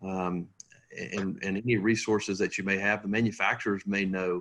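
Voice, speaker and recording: In a Tennessee accent, a man talks at a moderate pace in a very deep, low voice with monotone, flat intonation. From Tennessee (Knoxville). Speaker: manufactured housing sales specialist. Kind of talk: webinar presentation. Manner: halting, many fillers.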